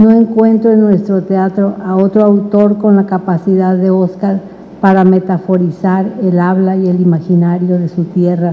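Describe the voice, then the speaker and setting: Delivered at a fairly slow pace, the voice keeps a monotone, flat intonation. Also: woman. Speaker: panelist. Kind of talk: reading a prepared text aloud. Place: hall. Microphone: handheld.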